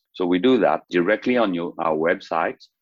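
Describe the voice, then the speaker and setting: The speech comes at a moderate pace with ordinary pitch variation and a dry, close sound with no echo. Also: man. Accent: French. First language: French. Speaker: startup founder. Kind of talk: interview. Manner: halting.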